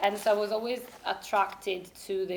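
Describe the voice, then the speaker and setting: Over noticeable background noise, a woman speaks with an Italian accent in a medium pitch, her intonation flat and monotone. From Italy. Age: 30s. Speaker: university lecturer. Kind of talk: interview. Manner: halting.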